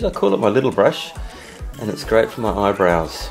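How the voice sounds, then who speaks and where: A man speaks with music in the background. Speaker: father of the uploader. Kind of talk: comedic parody voiceover of a makeup tutorial.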